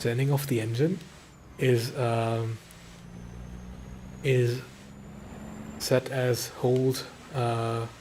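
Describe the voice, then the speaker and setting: Speaking at a very slow pace with long, frequent pauses, a man with a medium pitch and a dark, mellow tone sounds somewhat breathy, keeping his loudness very even and his intonation fairly even. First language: German. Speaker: video game streamer. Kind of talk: gameplay commentary. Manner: relaxed, hesitant with fillers.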